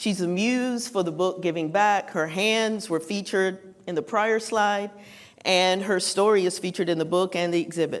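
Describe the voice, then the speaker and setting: A woman with a North Carolina accent speaks at a medium pitch. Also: ordinary pitch variation, moderate pace. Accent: North Carolina Southern. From Western North Carolina (Morganton). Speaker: writer and speaker on philanthropy. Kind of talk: conference talk.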